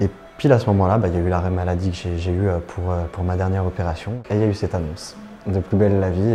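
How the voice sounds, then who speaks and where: Music plays in the background as a man with a fairly low voice talks very fast. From France, Lyon. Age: 20s. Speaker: actor. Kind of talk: interview testimony. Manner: soft-spoken; natural, hesitant.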